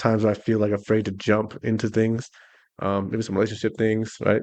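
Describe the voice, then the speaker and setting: A man speaks in a monotone, flat intonation at a fairly low pitch. The background is quiet. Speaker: podcast co-host. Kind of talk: casual chat. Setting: garage. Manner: fast.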